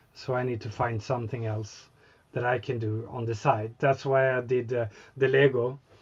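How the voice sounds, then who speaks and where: A man's somewhat breathy, medium-pitched voice at a moderate pace, with monotone, flat intonation. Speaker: scale model hobbyist. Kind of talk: casual chat. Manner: halting, searching for words.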